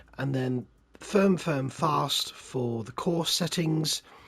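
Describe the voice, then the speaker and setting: Speaking at a very slow pace, a man talks at a medium pitch with ordinary pitch variation over noticeable background noise. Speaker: gaming video creator. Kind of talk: game commentary. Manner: conversational, relaxed.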